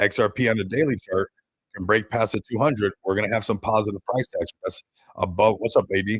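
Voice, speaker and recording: Very fast, somewhat breathy speech with fairly even intonation in a dry, close sound with no echo. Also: man, fairly low pitch for a man. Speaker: crypto market streamer. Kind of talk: live stream market commentary. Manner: casual, conversational.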